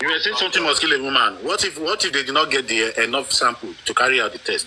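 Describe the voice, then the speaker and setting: Amid noticeable background noise, a man talks at a very fast pace with a Nigerian accent. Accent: Nigerian (Yoruba) English. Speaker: panelist. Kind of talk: heated debate. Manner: animated; halting.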